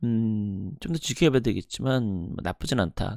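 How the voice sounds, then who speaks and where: Lively intonation carries a dark, mellow tone in a very clean recording with a silent background and a dry, close sound with no echo. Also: man. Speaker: finance youtuber. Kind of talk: report commentary. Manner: fast.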